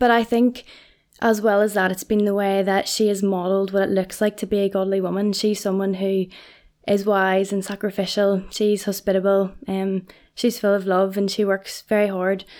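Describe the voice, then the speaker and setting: The recording is very clean, with a silent background. A woman with a Northern Irish accent speaks at a medium pitch and moderate pace in a monotone, flat intonation. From Northern Ireland, Portadown. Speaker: college librarian. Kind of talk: casual interview.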